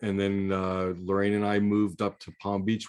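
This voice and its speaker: At a moderate pace, a man with an American accent speaks in an unremarkable speaking voice of fairly low pitch. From US South, Miami, Florida. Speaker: networking group host. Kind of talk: casual chat.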